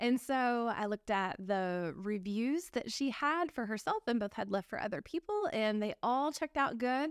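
A woman's unremarkable speaking voice with lively intonation and hardly any pauses. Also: fairly high pitch for a woman, moderate pace, very clean recording, silent background. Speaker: eBay reseller podcast co-host. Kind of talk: casual chat.

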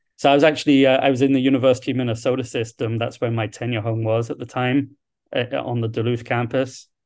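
A man speaks with a southern English accent. His intonation is monotone and flat. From London, England. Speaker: university dean. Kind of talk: interview. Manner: halting.

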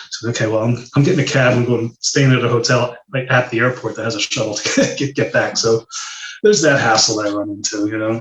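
A man with an ordinary speaking voice, medium pitch, fairly even intonation and a fairly quick pace. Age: 50s. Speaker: medical device sales consultant. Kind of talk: casual interview.

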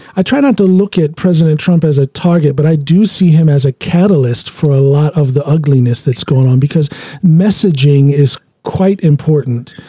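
A dark, mellow, somewhat breathy tone with an American accent, a moderate pace, very even loudness and ordinary pitch variation. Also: man, fairly high pitch for a man. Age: 50s. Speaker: podcast host, powerlifter. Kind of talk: casual interview.

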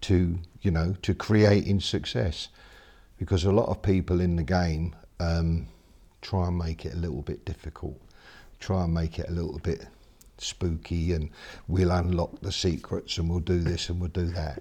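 A man with a very deep, low voice speaks at a moderate pace, his intonation fairly even, his tone dark and mellow and somewhat breathy, with long, frequent pauses. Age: 60s. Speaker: mindset coach and speaker. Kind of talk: interview. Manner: halting.

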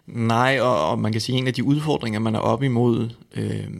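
A very clean recording of a man's voice, its background silent. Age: 30s. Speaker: eating disorder counsellor. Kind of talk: interview. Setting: studio.

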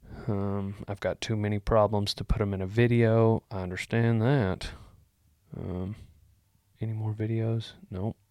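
Speaking fairly slowly with a Texan accent, a man with a fairly low pitch is heard in a dry, close sound with no echo on a very clean recording with a silent background. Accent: Texan Southern US. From Texas. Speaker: comedic podcast host giving cowboy life advice. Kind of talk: casual comedic advice podcast. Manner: animated.

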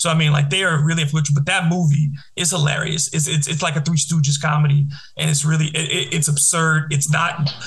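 With an American accent, a man talks at a fairly quick pace in a fairly high pitch, his loudness very even and his intonation monotone and flat, over noticeable background noise. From Detroit. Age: 40s. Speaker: podcast host, radio host. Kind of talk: casual chat.

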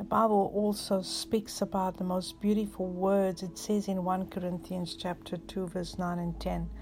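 With hardly any pauses, a woman speaks in a calm, soothing, somewhat breathy voice at a medium pitch, her intonation monotone and flat. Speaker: pastor. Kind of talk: guided prayer with breathing exercise. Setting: recorded message for listeners at home or in hospital. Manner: slow, calm, soothing; reassuring, pastoral, rhythmic counting.

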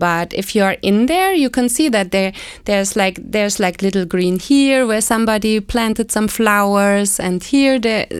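In a very clean recording with a silent background, a woman with a German accent speaks in a fairly high voice, barely pausing, with ordinary pitch variation and very even loudness. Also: moderate pace. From Germany, West Berlin. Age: 40s. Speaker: expat interviewee. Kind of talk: casual interview chat.

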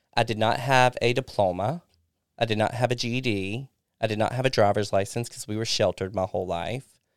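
On a very clean recording with a silent background, a man with a Southern US accent talks at a medium pitch with fairly even intonation, the sound dry and close with no echo. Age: 30s. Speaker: recovering alcoholic sharing his story. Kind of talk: casual interview, personal testimony.

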